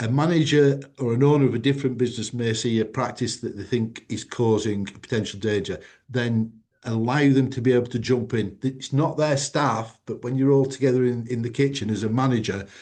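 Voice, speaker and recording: Against a quiet background, a man speaks at a fairly quick pace and medium pitch. His tone is dark and mellow, with fairly even intonation. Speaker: food safety company president. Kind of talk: webinar presentation.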